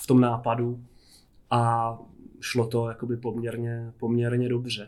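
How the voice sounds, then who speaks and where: A somewhat breathy male voice at a medium pitch, with monotone, flat intonation. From Czechia, Jizera Mountains region (Jablonec area). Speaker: film director and illustrator. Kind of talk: casual interview.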